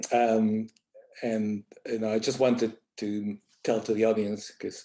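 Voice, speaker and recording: A man at medium pitch with a Spanish accent, moderate pace, and a very clean recording with a silent background. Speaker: associate journal editor, scientist. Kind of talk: panel presentation.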